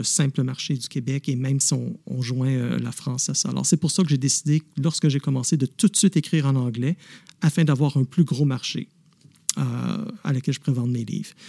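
A man speaks at a fairly slow pace with a fairly high pitch, ordinary pitch variation and a dark, mellow, somewhat breathy tone. The recording is very clean and dry, with a close sound, no echo and a silent background. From Quebec, Montreal. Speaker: novelist and former police officer. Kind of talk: interview. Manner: hesitant, many fillers.

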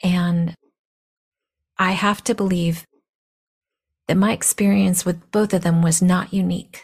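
Somewhat breathy and medium in pitch, a woman speaks at a fairly slow pace with monotone, flat intonation, very even loudness and long, frequent pauses. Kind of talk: personal monologue.

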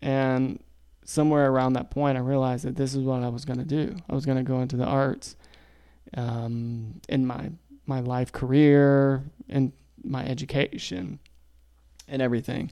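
An American-accented man with a medium pitch and a dark, mellow tone talks at a moderate pace with fairly even intonation and long, frequent pauses. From South Carolina, Lexington County (rural). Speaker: podcast co-host, artist. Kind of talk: casual chat.

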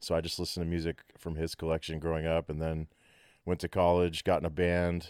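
In a Texan accent, a man talks at a fairly quick pace with a very deep, low pitch. His intonation is monotone and flat, the sound dry and close with no echo. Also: very clean recording, silent background. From Texas, Abilene. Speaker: musician and recording engineer. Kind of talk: casual chat.

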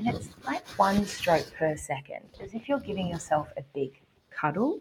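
A somewhat breathy woman with an Australian accent at a fairly slow pace. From Australia, small country town near Canberra. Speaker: havening practitioner. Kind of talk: interview conversation; guided exercise.

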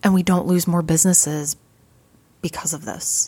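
A somewhat breathy woman with an Upper Midwest accent at a moderate pace. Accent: Upper Midwest American. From US Midwest, Fargo, North Dakota. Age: 30s. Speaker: podcast host and vintage shop owner. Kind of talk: casual monologue. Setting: retail shop counter.

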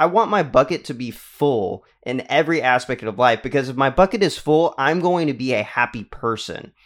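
In an American accent, this voice talks at a moderate pace with ordinary pitch variation, an unremarkable speaking voice on a very clean recording with a silent background. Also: man. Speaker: podcast host. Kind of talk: casual interview.

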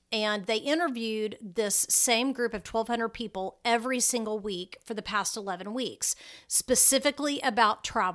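At a moderate pace and with hardly any pauses, a woman speaks with an American accent. Her pitch is fairly high with ordinary variation, in a very clean recording with a silent background. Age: 50s. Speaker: travel blogger and podcast host. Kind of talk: solo podcast monologue. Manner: hesitant with frequent fillers.

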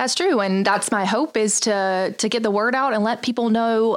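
Energetic in tone, a woman with a slight Southern US accent speaks at a moderate pace and fairly high pitch with ordinary pitch variation, in a very clean recording with a silent background. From North Carolina. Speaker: communications director, former TV news anchor. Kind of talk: company video chat.

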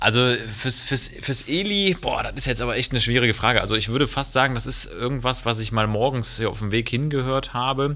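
A man talks in an unremarkable speaking voice at a medium pitch, with ordinary pitch variation. His pace is fairly quick, with hardly any pauses. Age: 30s. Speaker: doctor. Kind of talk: casual chat.

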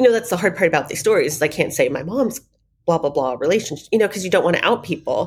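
A woman's medium-pitched voice, very fast and with lively intonation. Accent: General American. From Arizona, Phoenix. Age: 30s. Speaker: journalist. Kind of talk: casual chat. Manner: halting.

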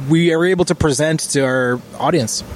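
Against noticeable background noise, a man speaks at a fairly high pitch with lively intonation. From Israel. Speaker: rock band member. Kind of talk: interview.

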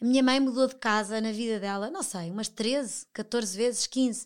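A woman with a plain, everyday voice speaks at a moderate pace with fairly high pitch and fairly even intonation. The recording is very clean, with a silent background. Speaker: television professional. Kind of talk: casual interview chat.

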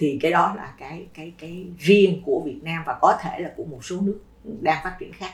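Noticeable background noise sits under this recording. A woman talks fairly slowly at a fairly low pitch. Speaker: education administrator. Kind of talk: casual chat.

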